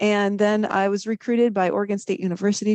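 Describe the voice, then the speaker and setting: A woman with a slight Wisconsin accent talks very fast in a dark, mellow tone. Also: dry, close sound with no echo. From US Midwest, Wisconsin. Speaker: viticulture professor. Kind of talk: podcast interview.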